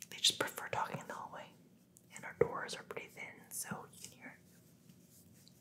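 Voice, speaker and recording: Whispering, a woman goes at a fairly slow pace. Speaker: ASMR creator. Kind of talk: ASMR Q&A while massaging. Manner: soft-spoken. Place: home room.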